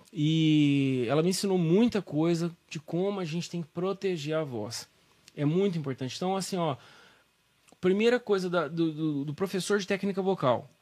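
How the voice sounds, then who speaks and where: This man has a high pitch and ordinary pitch variation. He speaks at a moderate pace. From Brazil, São Joaquim da Barra (São Paulo state). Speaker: voice teacher and musician. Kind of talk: casual interview.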